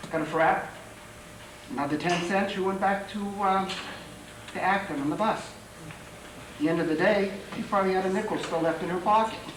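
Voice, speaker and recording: Against noticeable background noise and audible room echo, a soft-spoken man with a high pitch talks at a moderate pace in fairly even intonation, leaving long, frequent pauses. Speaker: local historian. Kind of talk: public talk. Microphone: too quiet at first.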